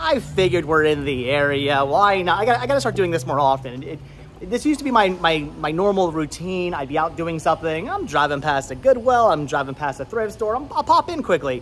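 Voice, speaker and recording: Lively intonation and a fairly quick pace carry the speech over light background noise. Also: man. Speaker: vlogger. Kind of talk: casual vlog chat. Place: street. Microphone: phone near.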